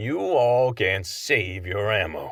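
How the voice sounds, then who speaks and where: A man's booming, drawling put-on character voice, fairly low in pitch, with a confident tone and lively intonation. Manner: lazy, confident drawl.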